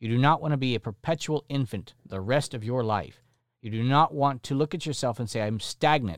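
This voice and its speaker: Lively in intonation and moderate in pace, a man speaks in a very clean recording with a silent background and a dry, close sound with no echo. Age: 40s. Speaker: podcast host, Bible teacher. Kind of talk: solo podcast teaching monologue. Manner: emphatic.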